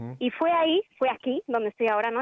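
Someone talks at a fairly quick pace in a Madrid accent. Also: woman. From Spain. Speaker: film distributor. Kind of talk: radio interview.

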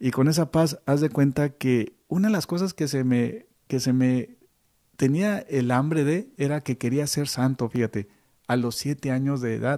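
Against a quiet background, a man talks at a fairly slow pace in a dark, mellow tone with fairly high pitch and ordinary pitch variation, the sound dry and close with no echo. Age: 50s. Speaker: priest and radio co-host. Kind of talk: casual chat.

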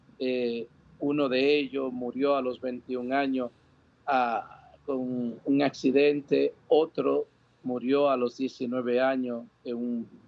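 A man talks at a very slow pace. His medium-pitched voice keeps fairly even intonation. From Dominican Republic. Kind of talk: interview testimony. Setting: outdoor patio, remote link.

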